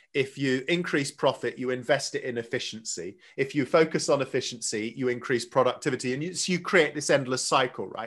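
A man talks at a fairly quick pace with hardly any pauses and ordinary pitch variation. It is a plain, everyday voice against a quiet background. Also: fairly high pitch for a man. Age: 50s. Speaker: mental toughness speaker with an education background. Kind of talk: interview.

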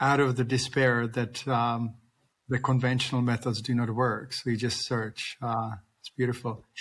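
A man speaks at a moderate pace in a medium-pitched voice with flat, monotone intonation. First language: not English. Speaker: podcast host, veterinarian. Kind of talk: interview conversation. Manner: halting, repeats words.

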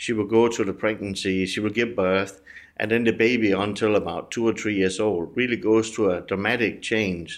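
In a Danish accent, a man talks at a fairly quick pace and fairly low pitch. His intonation is monotone and flat, and the background is quiet. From Denmark. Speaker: business executive. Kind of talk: interview. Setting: studio.

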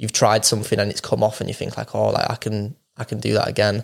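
Talking at a very fast pace in a Yorkshire accent, a man is captured in a very clean recording with a silent background. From northern England, Wakefield, Yorkshire. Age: 20s. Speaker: professional footballer. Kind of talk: casual interview.

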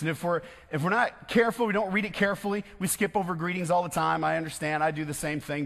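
This man has a high-pitched voice. He speaks with an American accent. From West Michigan, US. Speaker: pastor. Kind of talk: sermon.

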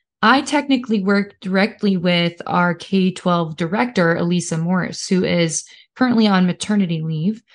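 Against a quiet background, a woman with a Midwestern American accent speaks at a very even loudness. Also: medium pitch for a woman, ordinary pitch variation, moderate pace. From Kansas. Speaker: education liaison. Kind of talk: casual chat.

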